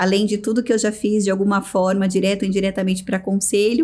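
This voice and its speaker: A woman with an unremarkable speaking voice, medium in pitch, with fairly even intonation. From Brazil, São Paulo state (Americana). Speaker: business executive. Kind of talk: interview.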